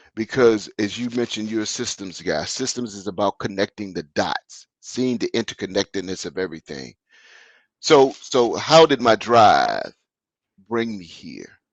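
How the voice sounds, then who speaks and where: A man talks at a moderate pace in medium pitch, an unremarkable speaking voice with ordinary pitch variation. His loudness swings widely, and the sound is dry and close with no echo. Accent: American. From US South. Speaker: business consultant. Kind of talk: interview.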